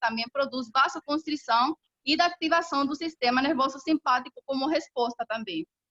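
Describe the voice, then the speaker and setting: Recorded dry and close with no echo, a woman's high-pitched voice has a bright, sharp tone and ordinary pitch variation. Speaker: professor. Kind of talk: lecture. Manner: fast.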